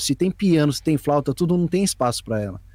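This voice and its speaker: Recorded with a dry, close sound and no echo, a man with an unremarkable speaking voice talks fairly quickly at a fairly high pitch. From São Paulo, East Zone (Brazil). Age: 20s. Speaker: beatmaker and music producer. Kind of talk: casual interview chat. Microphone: poor audio in first ten minutes.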